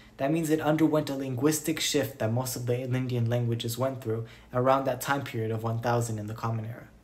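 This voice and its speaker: The speaker is a man. He talks at a very fast pace with fairly even intonation. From Romani community. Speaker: Romani history educator. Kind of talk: educational narration.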